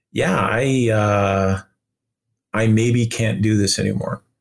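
A man with a Canadian accent uses a plain, everyday voice with a fairly low pitch and fairly even intonation. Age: 50s. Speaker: video game director. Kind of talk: interview.

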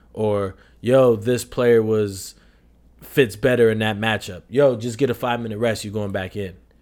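A man with an American accent has a normal speaking voice, a fairly low pitch and fairly even intonation at a moderate pace. The recording is very clean, with a silent background. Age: 20s. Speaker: podcast co-host, soccer coach. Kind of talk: casual chat.

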